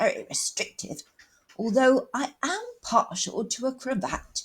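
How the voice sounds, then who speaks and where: A woman's growling put-on character voice at a fairly slow pace. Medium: read story. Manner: posh, superior, plummy.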